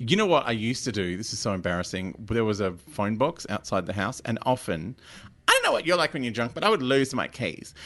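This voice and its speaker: A man's very fast speech, medium in pitch, with a bright, sharp tone and lively intonation. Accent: Australian. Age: 40s. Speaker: comedian. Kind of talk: casual panel-show banter.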